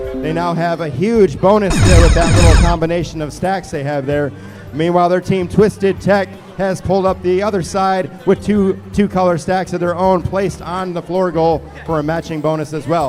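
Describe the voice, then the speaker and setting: Music plays in the background as a man talks at a moderate pace. His pitch is high. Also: ordinary pitch variation. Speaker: match announcer. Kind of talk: live commentary. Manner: animated.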